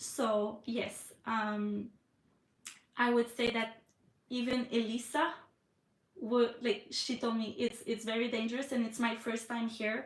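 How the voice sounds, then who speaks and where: In a Quebec accent, a woman speaks at a very slow pace with a fairly high pitch and monotone, flat intonation. Her speech has long, frequent pauses. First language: French. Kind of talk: live stream chat. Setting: live stream from iPad. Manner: hesitant, many fillers.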